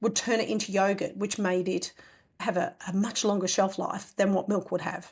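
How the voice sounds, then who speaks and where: A woman speaks at a moderate pace with an Australian accent. Her intonation is fairly even, and the recording is very clean with a silent background. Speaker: homesteading podcast host. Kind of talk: casual podcast talk.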